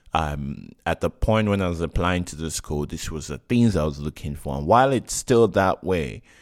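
At a moderate pace, a man with a very deep, low pitch and lively intonation is heard dry and close with no echo on a very clean recording with a silent background. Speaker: podcast host. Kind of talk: solo monologue. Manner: direct and forceful; halting.

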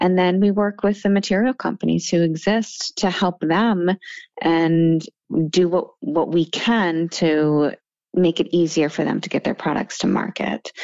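A woman with an unremarkable speaking voice, fairly low pitch and a fairly slow pace. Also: ordinary pitch variation. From moved around; born Seattle, also Massachusetts and Munich. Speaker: nonprofit chief executive and attorney. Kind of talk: radio interview.

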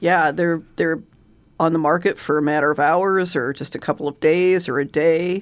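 In a normal speaking voice, a woman talks at a moderate pace with fairly low pitch and fairly even intonation against a quiet background. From Omaha, Nebraska (Benson neighborhood). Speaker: realtor. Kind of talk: interview. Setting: radio studio.

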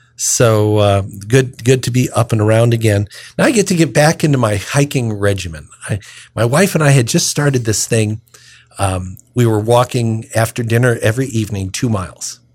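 A man speaks at a moderate pace with very even loudness, in a somewhat breathy voice. His pitch is medium, with ordinary variation. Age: 60s. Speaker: deacon and radio host. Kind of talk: radio talk on scripture readings.

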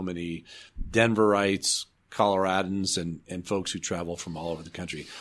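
The intonation is fairly even. The recording is very clean, with a silent background. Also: man. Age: 60s. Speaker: architect and development authority CEO. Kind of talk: interview.

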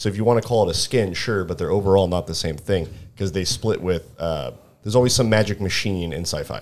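On a very clean recording with a silent background, a man speaks very fast at a fairly low pitch with ordinary pitch variation. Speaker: tabletop gaming podcast host. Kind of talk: casual banter.

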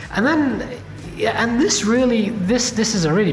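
In a room with audible echo and noticeable background noise, a man talks at a moderate pace. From Indian heritage. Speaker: podcast host and venture capitalist. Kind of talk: casual interview.

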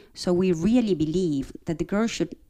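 A woman speaks in a dark, mellow tone. Her tempo is medium. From Argentina. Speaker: academic dean. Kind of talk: radio interview. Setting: live remote broadcast at school.

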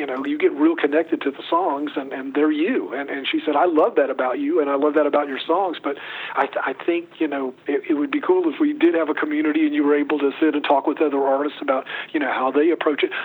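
Over noticeable background noise, a man talks at a very fast pace with a fairly high pitch and monotone, flat intonation. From US South, North Carolina. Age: 60s. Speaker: singer-songwriter. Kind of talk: interview.

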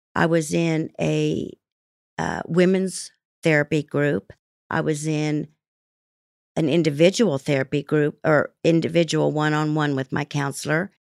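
In a very clean recording with a silent background, a woman with a Midwestern American accent speaks at a fairly slow pace with a very deep, low pitch, fairly even intonation and long, frequent pauses. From Kansas, US. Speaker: guest sharing recovery story. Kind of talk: testimony. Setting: studio. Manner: halting.

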